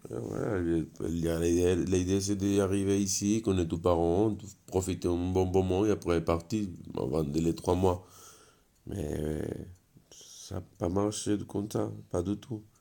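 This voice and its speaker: A man's very deep, low voice with a Spanish accent, dark and mellow in tone, with ordinary pitch variation, a very slow pace and long, frequent pauses. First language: Spanish (speaking French). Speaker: interviewee in binational couple. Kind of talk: casual testimony. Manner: halting.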